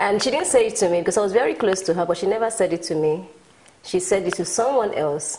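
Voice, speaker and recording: Over noticeable background noise, a woman with a Nigerian accent talks at a very fast pace, her medium pitch showing ordinary variation. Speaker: motivational speaker and businesswoman. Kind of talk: talk show interview.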